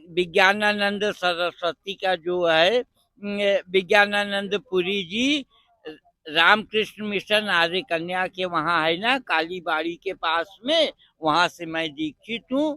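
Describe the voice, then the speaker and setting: The pitch here is ordinary in its variation. A man speaks high for a man. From Rajasthan, India. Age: 70s. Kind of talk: interview. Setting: outdoors at a religious fair.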